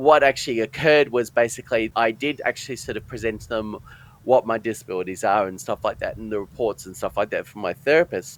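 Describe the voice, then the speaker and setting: In a dry, close recording with no echo, a man with an Australian accent talks very fast at a medium pitch. His loudness swings widely while his pitch varies in an ordinary way. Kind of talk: interview, personal testimony. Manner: halting, broken speech with many fillers.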